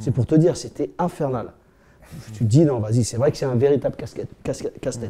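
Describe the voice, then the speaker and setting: Somewhat breathy and with a dark, mellow tone, a man speaks at a fairly quick pace with ordinary pitch variation and long, frequent pauses. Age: 50s. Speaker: MMA coach, co-host. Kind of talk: casual chat. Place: home room.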